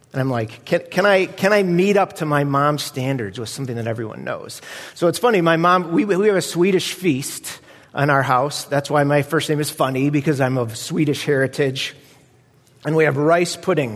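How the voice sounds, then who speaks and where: This man's fairly high voice moves along at a moderate speed. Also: ordinary pitch variation. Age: 40s. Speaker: guest preacher. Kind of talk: sermon.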